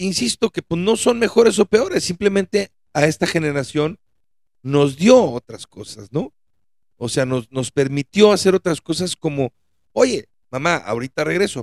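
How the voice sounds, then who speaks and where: With a Mexican accent, the speaker moves at a fairly slow pace through very wide pitch swings in a dry, close sound with no echo. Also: man, high pitch for a man. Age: 40s. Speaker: podcast host. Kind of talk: solo monologue podcast.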